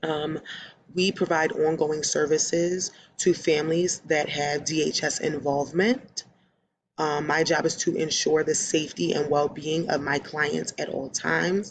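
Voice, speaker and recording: A woman with a Philadelphia accent and a very deep, low pitch, fairly even in intonation at a fairly slow pace. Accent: Philadelphia American English. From US, Philadelphia, Pennsylvania. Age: 20s. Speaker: social work student and case manager. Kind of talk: self-introduction video.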